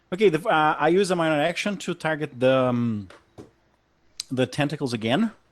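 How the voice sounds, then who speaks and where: A man with a non-native accent speaks at a fairly high pitch and moderate pace. Long, frequent pauses break up his speech. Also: lively intonation. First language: not English. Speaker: tabletop game player. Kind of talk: casual chat.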